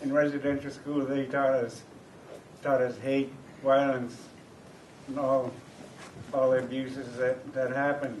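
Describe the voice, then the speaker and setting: Over noticeable background noise and audible room echo, a man speaks at a fairly slow pace in a monotone, flat delivery with long, frequent pauses. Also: medium pitch for a man. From Canada, First Nations. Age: old. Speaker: residential school survivor, elder. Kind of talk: interview testimony.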